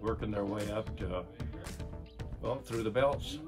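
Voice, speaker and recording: A man talks at a moderate pace with lively intonation and a fairly low pitch. Clear music plays in the background. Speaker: retired police officer. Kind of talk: interview answer. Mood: warm, appreciative. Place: office. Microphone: phone near.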